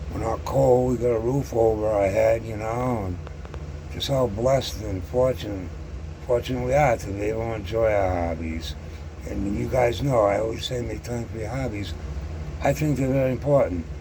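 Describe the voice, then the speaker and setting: With an American accent, a man talks at a moderate pace and fairly low pitch with very wide pitch swings, amid audible room echo and noticeable background noise. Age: 60s. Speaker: scale model hobbyist YouTuber. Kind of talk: casual monologue to camera. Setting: sitting alone at home. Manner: halting, many fillers and repetitions; stutters on some words.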